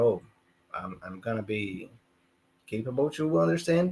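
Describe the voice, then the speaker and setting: A man with a Portuguese accent and lively intonation. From Brazil. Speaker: English learner, musician and channel owner. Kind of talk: casual conversation class. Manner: halting.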